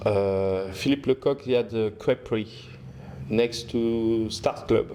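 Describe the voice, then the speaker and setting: With a strong French accent, a man of medium pitch speaks fairly slowly in a dark, mellow tone, his loudness very even and his intonation fairly even. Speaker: restaurant owner and chef. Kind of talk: casual interview chat. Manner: halting, many fillers and restarts.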